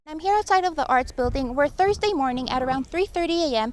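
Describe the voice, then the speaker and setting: A woman's fairly quick, lively-intoned speech over noticeable background noise. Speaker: TV news reporter and anchor. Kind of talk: TV news read.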